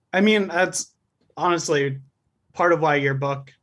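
A man's ordinary speaking voice, at a moderate pace with lively intonation. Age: 20s. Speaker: caller. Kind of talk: casual chat.

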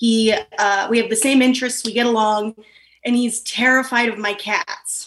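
Her voice is fairly high in pitch. The woman talks at a moderate pace with monotone, flat intonation. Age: 30s. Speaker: advice-seeking caller. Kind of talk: casual chat.

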